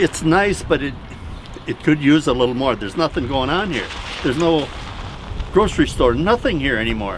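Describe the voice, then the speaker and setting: Against noticeable background noise, a man talks at a fairly quick pace. He has a fairly high pitch and a Minnesotan accent. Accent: Minnesota. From southern Minnesota. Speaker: local resident. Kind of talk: casual interview. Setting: outdoors.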